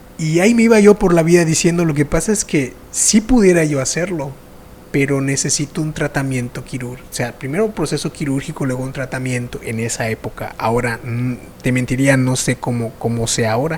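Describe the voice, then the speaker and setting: A man with a fairly high pitch talks at a fairly quick pace with lively intonation. Noticeable background noise runs underneath. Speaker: podcast host. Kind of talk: interview conversation.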